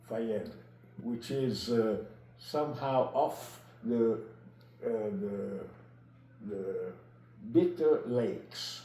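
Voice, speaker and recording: Very slow speech with ordinary pitch variation, long, frequent pauses and audible room echo. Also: man, medium pitch for a man. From Egypt (Italian family), later Naples, Italy. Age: 80s+. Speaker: retired biologist telling his life story. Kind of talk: interview. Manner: halting.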